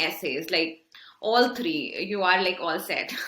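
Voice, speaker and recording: Noticeable background noise sits behind a woman's voice. She speaks at a medium pitch and a fairly slow pace. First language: not English. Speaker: MBA student, former engineer. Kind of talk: interview.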